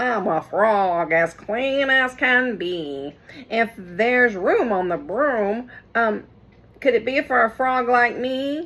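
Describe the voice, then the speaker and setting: A female-sounding voice puts on a croaky character voice. It moves at a very slow pace in a fairly high pitch. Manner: polite, earnest.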